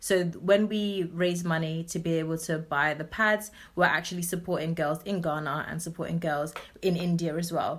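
A woman with a London accent speaks at a moderate pace in a fairly low pitch with monotone, flat intonation, on a very clean recording with a silent background. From southeast London. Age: 20s. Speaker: nonprofit founder. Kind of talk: interview.

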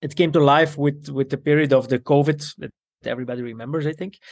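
With an Italian accent, a man talks at a moderate pace in a fairly high voice. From Belgium, to Italian parents. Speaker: custom menswear tailor and shop owner. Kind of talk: casual interview. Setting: video call.

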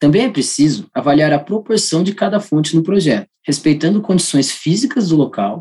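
The man's voice is high-pitched with a dark, mellow tone. His pitch swings very widely at a moderate pace. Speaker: energy engineer. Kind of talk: prepared expert interview. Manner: formal.

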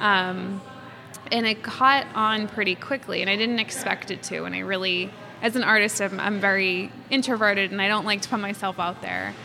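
A woman with an American accent, medium in pitch, at a moderate pace and with fairly even intonation, over noticeable background noise. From Massachusetts (Quincy, near Boston). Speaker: fashion illustrator. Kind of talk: interview conversation.

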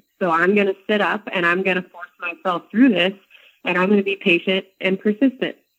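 Talking at a fairly quick pace, a woman with an unremarkable speaking voice keeps a medium pitch and fairly even intonation. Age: 20s. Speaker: author and strength coach. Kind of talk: interview.

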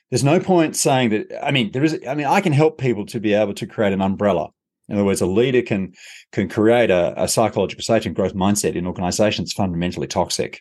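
With an Australian accent, a man speaks at a very fast pace in a fairly low pitch, his intonation lively against a quiet background. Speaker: leadership consultant and author. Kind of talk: interview conversation.

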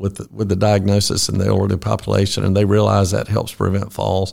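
A man with a Southern US accent at a moderate pace. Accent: Southern US (Georgia). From US South, Georgia (Fitzgerald). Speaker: orthopedic surgeon. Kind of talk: interview.

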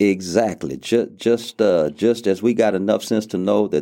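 A man with a Louisiana accent speaks at a moderate pace in a dark, mellow tone, his pitch fairly low with ordinary variation, in a very clean recording with a silent background. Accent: Southern US (Louisiana). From US South, southwest Louisiana (Lake Charles). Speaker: pastor. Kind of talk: interview. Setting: studio.

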